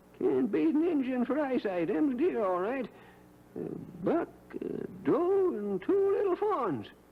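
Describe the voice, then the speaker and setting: A man's put-on character voice at an extremely high pitch, with very wide pitch swings and a fairly slow pace. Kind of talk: 1950s radio acting. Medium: old radio play. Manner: folksy, rambling.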